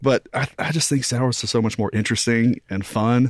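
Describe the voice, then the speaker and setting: A man with an ordinary speaking voice talks at a moderate pace and medium pitch in a dry, close sound with no echo. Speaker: restaurant owner. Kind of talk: casual chat. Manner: laid-back, casual.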